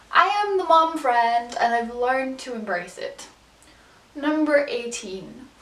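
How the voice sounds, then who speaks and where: In an English accent, a woman speaks at a moderate pace with audible room echo and noticeable background noise. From England. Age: 20s. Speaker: vlogger. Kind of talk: casual chat.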